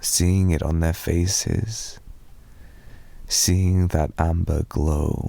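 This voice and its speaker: A man speaks in a very deep, low pitch with a dark, mellow tone. His pace is very slow, his intonation fairly even, and he leaves long, frequent pauses. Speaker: ASMR roleplay performer. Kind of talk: ASMR boyfriend roleplay sleep aid. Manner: soft-spoken, rambling.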